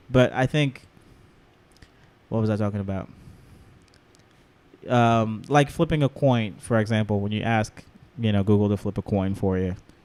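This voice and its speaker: Moderate pace with long, frequent pauses, ordinary pitch variation, and a non-native accent. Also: man, fairly low pitch for a man. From outside the US. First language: not English. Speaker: podcast co-host. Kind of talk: casual chat. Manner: halting.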